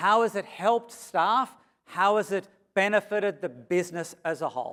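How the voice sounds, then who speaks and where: A man's high-pitched, bright, sharp voice in an animated tone, with ordinary pitch variation, at a moderate pace. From Australia. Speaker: consultant and conference speaker. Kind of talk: keynote presentation. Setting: stage with audience.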